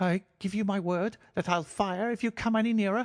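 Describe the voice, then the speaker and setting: A shaky, put-on character voice from a man, high in pitch with fairly even intonation, very even loudness and a moderate pace over a quiet background. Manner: frightened, threatening.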